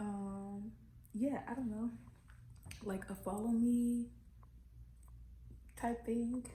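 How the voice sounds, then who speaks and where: Soft-spoken and fairly high in pitch, a woman talks at a very slow pace with monotone, flat intonation and long, frequent pauses, amid noticeable background noise and audible room echo. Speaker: vlogger. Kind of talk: casual vlog. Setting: new apartment.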